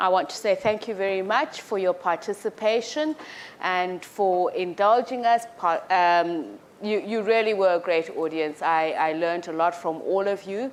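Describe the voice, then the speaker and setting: Energetic and with lively intonation, a woman at a medium pitch speaks at a fairly slow pace. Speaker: program director. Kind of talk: event moderation.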